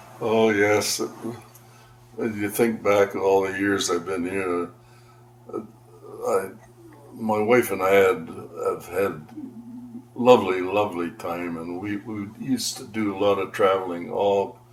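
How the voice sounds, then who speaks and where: With a Canadian accent, a man of fairly low pitch speaks with fairly even intonation, long, frequent pauses and big swings in loudness over noticeable background noise. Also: fairly slow pace. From Ontario, Canada (Aurora). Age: 80s+. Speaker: longtime local resident. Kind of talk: oral history interview. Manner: halting.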